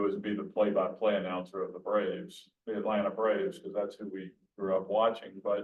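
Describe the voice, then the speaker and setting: A man with an Alabama accent. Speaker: sportswriter. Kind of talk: Q&A talk. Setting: hybrid event with room audience and Zoom.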